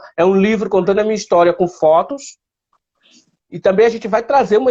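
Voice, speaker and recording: Speaking fairly quickly in a northeastern Brazilian accent, a man uses a high pitch and ordinary pitch variation. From Northeast Brazil, Piauí. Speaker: blind photographer. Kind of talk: interview.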